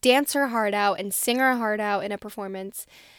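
On a very clean recording with a silent background and a dry, close sound with no echo, a woman with a fairly high voice speaks at a moderate pace in an enthusiastic, animated tone with ordinary pitch variation. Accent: New Jersey. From New Jersey, US. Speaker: podcast host. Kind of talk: casual solo podcast monologue. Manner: chatty, enthusiastic, animated; filler-heavy, self-correcting.

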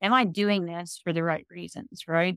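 A Southern Virginia accent with fairly even intonation, in a dry, close sound with no echo. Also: woman. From US South, rural Virginia. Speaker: mortgage company CEO, former singer. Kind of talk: interview. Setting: video call.

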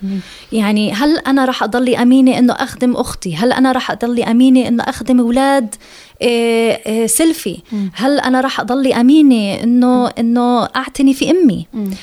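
Speaking with an English accent, a woman uses a high pitch, ordinary pitch variation and a moderate pace. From Jerusalem. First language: English (speaking Arabic). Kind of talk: radio interview.

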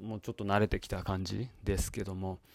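Recorded very cleanly against a silent background, a man speaks at a fairly low pitch and fairly quick pace in a monotone, flat intonation. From Japan. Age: 40s. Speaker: podcast host. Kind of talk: solo monologue. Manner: halting with many fillers.

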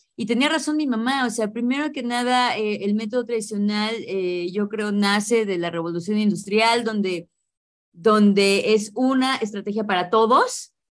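With a Mexico City accent, a woman talks at a fairly slow pace in an animated tone and a fairly high pitch. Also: ordinary pitch variation. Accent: Mexican Spanish (Mexico City). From Mexico City, Mexico. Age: 30s. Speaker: English teacher. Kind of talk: interview.

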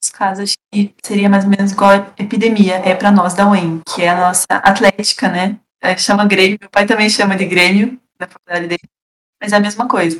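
A woman's medium-pitched, monotone, flat delivery at a moderate pace, with big swings in loudness and a dry, close sound with no echo. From Paraná, Brazil (Castro). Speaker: engineering student. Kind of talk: casual chat.

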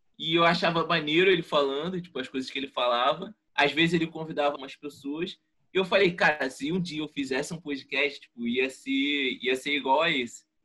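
Speaking at a fairly quick pace with hardly any pauses, a man with a fairly high pitch and a bright, sharp tone uses ordinary pitch variation. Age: 20s. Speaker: economics student and podcaster. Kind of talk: casual chat.

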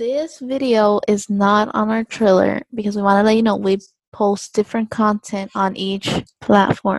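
A woman's normal speaking voice, medium in pitch, at a fairly slow pace with fairly even intonation, in a dry, close sound with no echo. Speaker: student podcast co-host. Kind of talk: casual chat.

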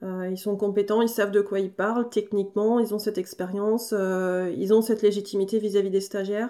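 Talking at a fairly quick pace with hardly any pauses, a woman of medium pitch keeps a monotone, flat intonation. Her tone is dark and mellow, and the recording is very clean with a silent background. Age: 30s. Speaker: agricultural trainer and farmer. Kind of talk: interview.

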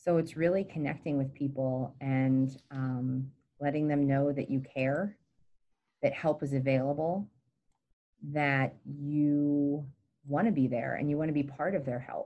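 A woman's very deep, low voice, dark and mellow in tone, with fairly even intonation and long, frequent pauses. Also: fairly slow pace. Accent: American. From Pennsylvania, Gettysburg. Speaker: mental health nonprofit director, clinical social worker. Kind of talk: interview.

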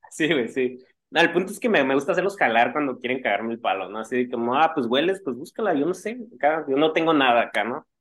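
This man's fairly high voice races along at a very fast pace. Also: lively intonation. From Mexico, Tijuana. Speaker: punk band guitarist. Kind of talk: casual interview chat. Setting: video call.

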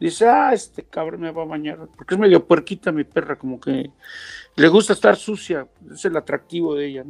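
With a Mexican accent, a man talks in a fairly high voice with lively intonation and big swings in loudness, the sound dry and close with no echo. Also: fairly quick pace. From Mexico, Mexico City and Huasteca of Hidalgo. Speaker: voice actor and guest. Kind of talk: casual chat.

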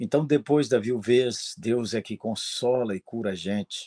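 Against a quiet background, a man speaks at a fairly slow pace and medium pitch, with ordinary pitch variation. His dark, mellow tone sounds dry and close with no echo. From Minas Gerais, Brazil. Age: 60s. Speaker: pastor. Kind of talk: interview.

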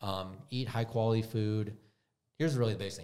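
A man with an American accent has an unremarkable speaking voice. His pitch is fairly low and his intonation fairly even. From US Midwest, Wisconsin. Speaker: autoimmune health coach. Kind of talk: casual interview chat.

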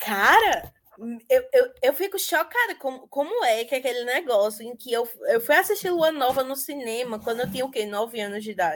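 A woman with a high voice talks at a moderate pace, her pitch swinging very widely and her loudness rising and falling sharply. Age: 20s. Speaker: podcast host. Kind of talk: casual chat. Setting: video call.

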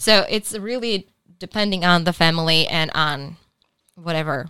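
Using a bright, sharp tone, a woman speaks at a moderate pace and a fairly low pitch with ordinary pitch variation and long, frequent pauses. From Czech Republic. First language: Czech. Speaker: podcast co-host. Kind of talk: casual chat. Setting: studio.

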